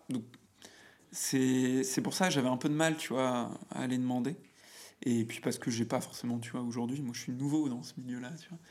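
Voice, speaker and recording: Pausing long and often, a man speaks with fairly even intonation. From France, Auvergne (near Clermont-Ferrand). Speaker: business manager and podcaster. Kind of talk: casual chat. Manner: halting, many fillers and repetitions. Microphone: echoey, cavernous room sound.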